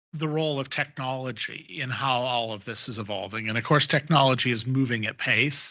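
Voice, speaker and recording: Against a quiet background, a man with an American accent talks at a moderate pace in a bright, sharp tone. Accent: sounds American. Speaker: panelist on defense and geopolitics. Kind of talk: panel discussion. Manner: hesitant, many fillers.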